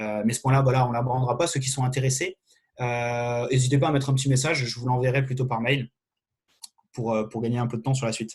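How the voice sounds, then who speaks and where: A man talks at a very fast pace in a medium pitch. His voice is somewhat breathy, and his intonation is flat and monotone. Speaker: fencing referee giving a training session. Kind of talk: online lecture.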